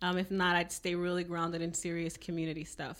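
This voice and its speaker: On a very clean recording with a silent background, a woman with a fairly low pitch speaks at a moderate pace. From Louisiana Cajun country. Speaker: podcast host. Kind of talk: casual interview; scripted intro.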